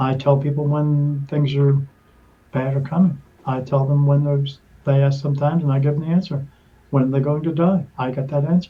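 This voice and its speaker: A man speaks at a fairly quick pace in a fairly high pitch with monotone, flat intonation. His voice is somewhat breathy with a dark, mellow tone. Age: 50s. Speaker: spirit medium and podcast guest. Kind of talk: interview testimony. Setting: podcast interview. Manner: halting, with fillers and restarts.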